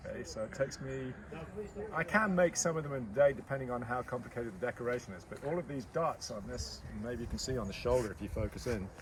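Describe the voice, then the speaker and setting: Over noticeable background noise, a man speaks very fast with lively intonation. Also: medium pitch for a man. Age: 60s. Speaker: potter. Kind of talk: interview.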